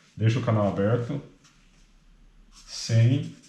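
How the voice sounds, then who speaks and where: A man speaks softly and very slowly, with a dark, mellow tone and fairly low pitch. His voice is somewhat breathy, and the room echo is audible. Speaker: medical student tutor. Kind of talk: study review lecture. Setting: apartment at night. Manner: soft-spoken; casual.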